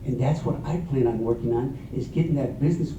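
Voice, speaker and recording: A man's fairly high, lively voice amid noticeable background noise and audible room echo. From Mexico. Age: 60s. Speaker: council candidate. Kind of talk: candidate forum answer.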